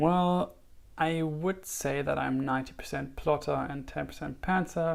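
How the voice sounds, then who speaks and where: A man with a German accent, at a moderate pace. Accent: German, noticeable. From Germany. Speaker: writer and YouTuber. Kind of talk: casual vlog talk. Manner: hesitant, many fillers.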